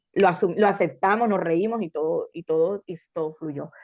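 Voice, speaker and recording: This is an ordinary speaking voice at a moderate pace. Intonation stays fairly even over a quiet background. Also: woman. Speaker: podcast co-host. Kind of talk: casual chat.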